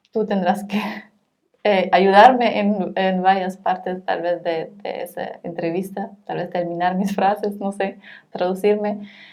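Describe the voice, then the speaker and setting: A woman's medium-pitched, monotone delivery in a German accent, at a fairly slow pace, with flat intonation. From Germany. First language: German (speaking Spanish). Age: 30s. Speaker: social worker. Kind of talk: interview. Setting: in person, not over Zoom. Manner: halting, frequent hesitations.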